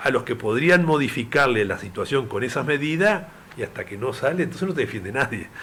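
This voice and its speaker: A man talks at a fairly quick pace with a fairly high pitch and lively intonation. Noticeable background noise can be heard. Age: 70s. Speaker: veteran politician. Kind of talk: interview.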